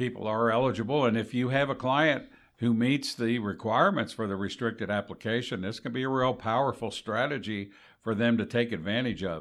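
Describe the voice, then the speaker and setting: A man talks at a fairly quick pace and medium pitch in an unremarkable speaking voice, captured in a very clean recording with a silent background. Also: ordinary pitch variation. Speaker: retired Social Security manager, co-host. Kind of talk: casual educational podcast chat.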